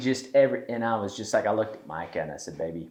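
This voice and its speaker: A man talks with a Southern US accent. His pace is very fast. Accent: Southern, noticeable. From US South, East Tennessee. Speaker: podcast host, entrepreneur. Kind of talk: casual chat.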